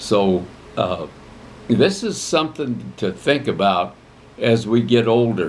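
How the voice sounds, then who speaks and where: A man with a medium-pitched voice and vocal fry talks at a very slow pace, with lively intonation and long, frequent pauses. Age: 70s. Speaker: retired veterinarian. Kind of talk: casual chat.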